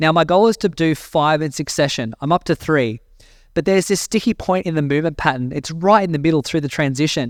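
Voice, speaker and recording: Spoken with an Australian accent at a fairly quick pace, the voice shows ordinary pitch variation in a dry, close sound with no echo on a very clean recording with a silent background. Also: man. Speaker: personal growth mentor, podcast host. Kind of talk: casual monologue podcast.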